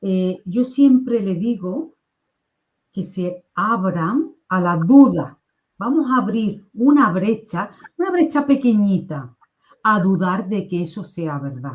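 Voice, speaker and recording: A somewhat breathy voice with an Andalusian accent, a very slow pace and very wide pitch swings. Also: woman, medium pitch for a woman. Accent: Andalusian (Seville), kept. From Spain, Seville province (Andalusia). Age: 50s. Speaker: NLP coach. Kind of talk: casual chat. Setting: live stream.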